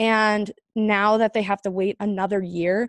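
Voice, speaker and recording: With a Southwestern US accent, a woman speaks at a fairly high pitch in a dry, close sound with no echo. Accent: American (Southwest). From Arizona, Chandler. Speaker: former Olympic hockey player and podcast host. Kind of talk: interview answers, casual.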